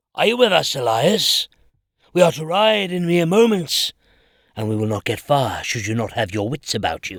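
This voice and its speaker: Putting on a character voice with very wide pitch swings, a man speaks at a fairly high pitch and a moderate pace in a very clean recording with a silent background. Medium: audio drama. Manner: curt, commanding.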